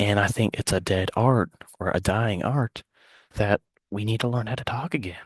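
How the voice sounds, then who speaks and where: Over a quiet background, a man with fairly low pitch and a somewhat breathy voice speaks at a moderate pace with ordinary pitch variation, in a dry, close sound with no echo. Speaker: student giving a class speech. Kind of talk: persuasive speech. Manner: halting.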